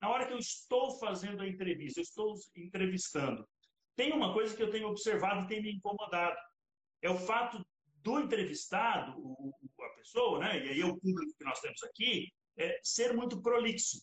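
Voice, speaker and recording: Pausing long and often, a man talks at a high pitch. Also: lively intonation, moderate pace. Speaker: podcast host and sales trainer. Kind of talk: casual interview chat; podcast monologue with tips. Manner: animated.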